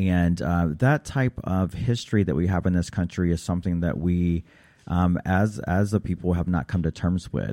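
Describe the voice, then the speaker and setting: In a very clean recording with a silent background, a man with an American accent speaks at a very deep, low pitch in a dark, mellow tone. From US South, North Carolina. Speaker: philanthropy expert and author. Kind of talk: interview. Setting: studio. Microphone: too far from the mic.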